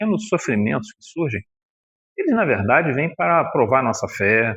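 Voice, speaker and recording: A man talks at a moderate pace. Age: 60s. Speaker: spiritist lecturer. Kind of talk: religious lecture. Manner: conversational, colloquial.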